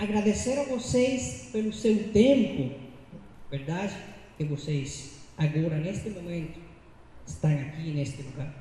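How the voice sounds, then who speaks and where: In a room with audible echo, a man with a fairly high voice speaks at a fairly slow pace, his pitch swinging very widely between long, frequent pauses. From Cuba. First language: Spanish (speaking Portuguese). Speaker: lecturer on education. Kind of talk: lecture.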